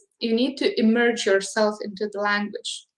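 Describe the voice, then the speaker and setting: A woman's fairly high voice in a Lithuanian accent. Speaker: English teacher. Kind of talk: interview. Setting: live online interview.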